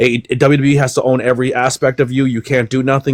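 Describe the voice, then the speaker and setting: Someone talks at a very fast pace, the sound dry and close with no echo but with noticeable background noise. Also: man. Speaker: wrestling podcast panelist. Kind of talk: casual chat. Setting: live stream. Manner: animated.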